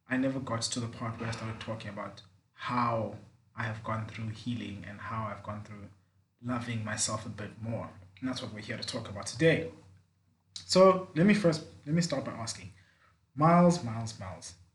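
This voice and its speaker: Speaking at a moderate pace with long, frequent pauses, a man with a medium-pitched, somewhat breathy voice shows big swings in loudness and ordinary pitch variation amid audible room echo. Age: 20s. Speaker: podcast host. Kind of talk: casual chat.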